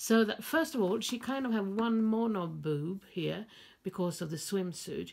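A woman talks at a moderate pace in a somewhat breathy voice. The background is quiet. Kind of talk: casual crafting vlog chat. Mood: amused, light-hearted. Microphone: phone near.

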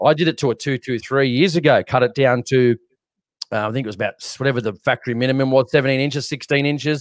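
Over a quiet background, a man with an Australian accent talks very fast with fairly even intonation, in a dry sound with no echo. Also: medium pitch for a man. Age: 30s. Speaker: shooting podcast co-host. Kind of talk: casual chat. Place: home room. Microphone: studio mic.

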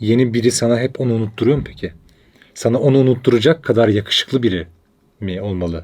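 This man talks very fast, his medium pitch showing ordinary variation. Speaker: podcast co-host. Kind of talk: casual chat. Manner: intellectual, weighty delivery.

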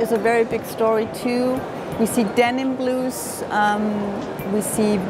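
A woman talks at a fairly slow tempo. Music can be heard behind her. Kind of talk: interview answer. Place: hall.

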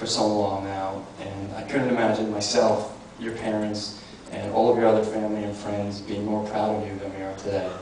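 Over light background noise and audible room echo, a man talks at a fairly quick pace with monotone, flat intonation. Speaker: best man; elementary school teacher. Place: hall. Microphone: handheld.

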